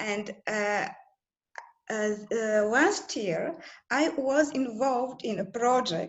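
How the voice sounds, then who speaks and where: With a Bulgarian accent, a woman speaks at a very slow pace. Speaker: translator at a European institution. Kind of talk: group video call discussion. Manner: halting, many fillers.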